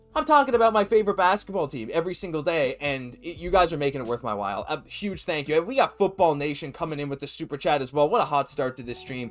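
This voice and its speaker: A man with a fairly high pitch speaks very fast and energetically, with lively intonation and hardly any pauses. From Atlantic Canada. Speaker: sports livestream host. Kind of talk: live stream chat. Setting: live stream.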